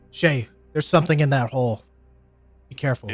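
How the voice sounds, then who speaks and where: Using a put-on character voice, a man of medium pitch speaks very fast in a raised, projected voice. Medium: actual play. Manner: rallying, commanding.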